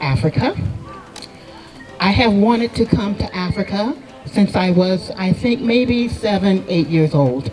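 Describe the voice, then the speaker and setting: With an American accent, a woman speaks at a fairly slow pace and medium pitch, her intonation lively, as music plays in the background. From United States. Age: 70s. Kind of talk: speech at a celebration.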